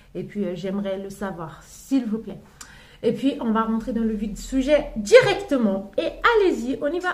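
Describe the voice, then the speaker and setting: In a room with audible echo, a woman with a fairly high pitch talks at a very slow pace, her pitch swinging very widely. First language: not French (speaking French). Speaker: mother sharing parenting advice. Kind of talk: casual vlog talk. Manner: halting, many fillers and restarts.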